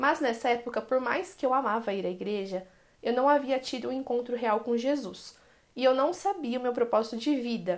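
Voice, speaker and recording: A woman's high-pitched voice keeps a moderate speed. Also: ordinary pitch variation. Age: 20s. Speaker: evangelical youth leader and preschool teacher. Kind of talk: testimony.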